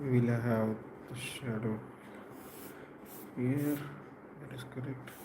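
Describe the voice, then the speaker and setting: With a non-native accent, the speaker goes at a very slow pace with monotone, flat intonation and long, frequent pauses, amid noticeable background noise and audible room echo. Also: man, medium pitch for a man. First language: not English. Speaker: portrait artist. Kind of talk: drawing tutorial. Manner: halting.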